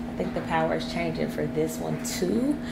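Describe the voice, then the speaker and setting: A woman talks at a moderate pace. Loud background noise runs beneath her voice. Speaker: homeowner vlogger. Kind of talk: casual vlog chat. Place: kitchen. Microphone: phone near.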